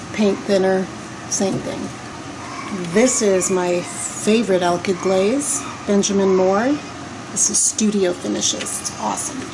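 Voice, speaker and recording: Amid noticeable background noise and audible room echo, a soft-spoken woman talks at a medium pitch and fairly slow pace with ordinary pitch variation and long, frequent pauses. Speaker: decorative painter. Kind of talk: tutorial. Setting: client's basement.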